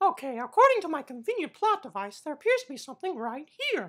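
Very fast and high-pitched, this cartoonish character voice swings very widely in pitch. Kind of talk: comic cartoon voice. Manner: upbeat, exasperated.

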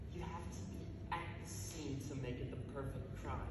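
A man's voice amid loud background noise, with audible room echo. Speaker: actor performing a monologue. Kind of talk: theatrical monologue. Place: stage. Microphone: camera far.

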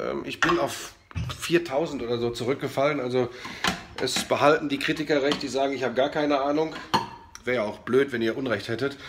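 Through noticeable background noise, a man of medium pitch talks at a fairly quick pace yet leaves long, frequent pauses. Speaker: sports commentator. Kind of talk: casual talk to camera. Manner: energetic, chatty.

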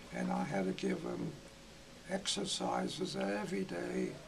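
Noticeable background noise runs behind a man speaking with an American accent. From Iowa. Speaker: retired gymnastics coach. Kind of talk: interview answer. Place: home room.

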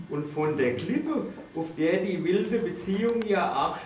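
Against light background noise and audible room echo, a man talks at a fairly slow pace. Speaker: father of the groom. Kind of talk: wedding speech. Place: hall. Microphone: camera far.

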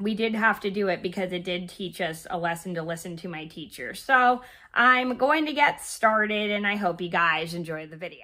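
A woman's medium-pitched, bright and sharp voice at a moderate pace with ordinary pitch variation

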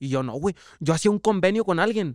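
A high-pitched man's voice at a fairly quick pace, lively intonation, dry sound with no echo, and a quiet background. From Mexico. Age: 20s. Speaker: former youth footballer, content creator; content creator. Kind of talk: casual chat. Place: studio. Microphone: studio mic.

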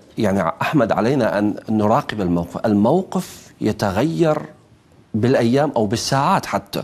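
A man at a fairly slow pace, his loudness very even. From Iraq. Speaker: journalist and political analyst; journalist, political analyst. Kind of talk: televised panel debate. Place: studio. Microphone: lapel.

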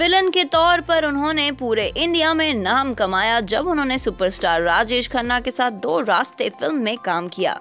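A woman's high voice swings very widely in pitch over music in the background. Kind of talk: biography narration.

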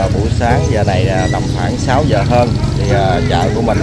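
A man speaks in a dry sound with no echo, with loud background noise. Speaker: vlogger filming a market tour. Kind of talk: casual vlog narration. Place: market. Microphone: phone near.

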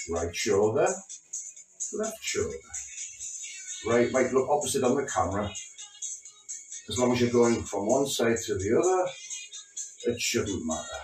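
Against music in the background and audible room echo, a man speaks with long, frequent pauses. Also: moderate pace. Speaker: fitness instructor. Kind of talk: exercise class instruction. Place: home room. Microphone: camera far.

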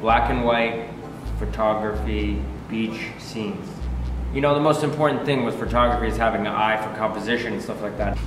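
A man talks at a fairly quick pace with audible room echo and faint music in the background. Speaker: artist vlogger. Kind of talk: casual vlog chat. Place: workshop.

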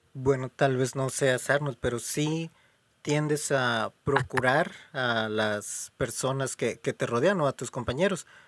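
A normal speaking voice, a man's, at medium pitch with ordinary pitch variation. He talks at a fairly slow pace, with a dry, close sound and no echo. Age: 20s. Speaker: podcast host. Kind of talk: casual chat.

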